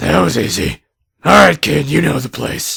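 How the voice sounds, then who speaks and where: A put-on character voice from a man, raspy and fairly low in pitch, with very wide pitch swings, a moderate pace and a dry, close sound with no echo. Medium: audio drama. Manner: sarcastic, profane, irritable.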